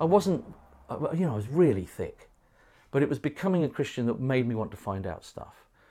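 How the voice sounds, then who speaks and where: A dark, mellow voice with a southern English accent moves at a fairly quick pace with very wide pitch swings. The recording is very clean, with a silent background. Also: man, fairly high pitch for a man. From southern England, Windsor area. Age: 50s. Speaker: pastor. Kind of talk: casual interview.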